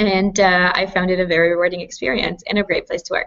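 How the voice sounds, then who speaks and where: A woman speaks at a medium pitch in a Canadian accent. Her intonation is monotone and flat, and her pace is fairly quick. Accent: Canadian, noticeable. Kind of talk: panel Q&A on video call. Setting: video call.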